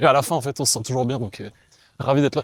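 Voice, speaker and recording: A man is speaking. His pace is very fast. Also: dry, close sound with no echo. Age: 20s. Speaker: professional volleyball player. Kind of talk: casual interview while running. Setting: outdoors, running in a city amid roadworks.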